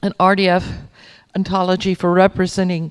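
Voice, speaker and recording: A woman speaks at a moderate pace, her pitch fairly low. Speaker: librarian presenter at a conference. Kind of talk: conference presentation. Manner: halting, many fillers.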